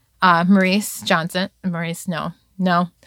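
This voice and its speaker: The bright, sharp voice carries an American accent in a very clean recording with a silent background and a dry, close sound with no echo. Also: woman. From Virginia Beach, Virginia. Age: 30s. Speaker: interviewee telling life story. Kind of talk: life story interview.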